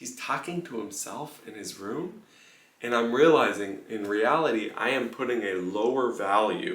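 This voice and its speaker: A man speaks quietly and fairly slowly with ordinary pitch variation, audible room echo, and noticeable background noise. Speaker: pianist. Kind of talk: casual vlog monologue. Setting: room in a house on tour. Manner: lowered voice, quiet.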